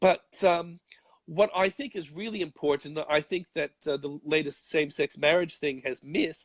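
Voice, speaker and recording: In an Australian accent, a man talks with a fairly high pitch and ordinary pitch variation at a moderate pace. The sound is dry and close, with no echo. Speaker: conservative commentator. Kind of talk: interview answer.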